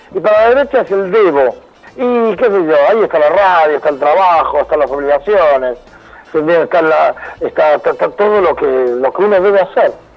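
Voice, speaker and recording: Against noticeable background noise, a man with a high pitch and lively intonation talks at a moderate pace, his loudness very even. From Argentina (Buenos Aires area), born in Venezuela. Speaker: psychologist. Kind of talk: casual interview.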